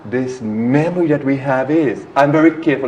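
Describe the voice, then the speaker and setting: A man speaks over noticeable background noise. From Trinidad and Tobago. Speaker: spiritual teacher. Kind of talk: interview.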